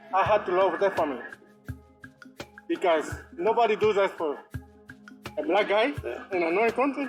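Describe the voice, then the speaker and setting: Over music in the background, a man with a Cuban accent and high pitch talks at a moderate pace with lively intonation, very even loudness, and long, frequent pauses. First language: Spanish. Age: 60s. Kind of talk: interview answer.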